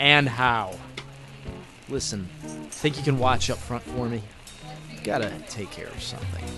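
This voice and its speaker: With clear music playing behind him, a man uses a put-on character voice at a medium pitch and moderate pace. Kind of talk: radio drama performance.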